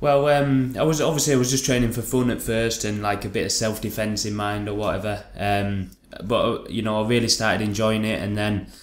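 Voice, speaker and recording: In a Lancashire accent, a man talks at a fairly quick pace with hardly any pauses, his fairly low voice keeping a fairly even intonation against audible room echo. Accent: northern English (Lancashire). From northern England, Lancaster. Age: 20s. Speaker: MMA fighter. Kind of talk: casual interview chat.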